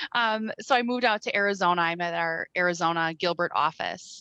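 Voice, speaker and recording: Medium-pitched woman's voice with a Wisconsin accent, a bright, sharp tone and ordinary pitch variation, dry and close with no echo, over a quiet background. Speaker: credit repair sales rep. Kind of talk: casual chat.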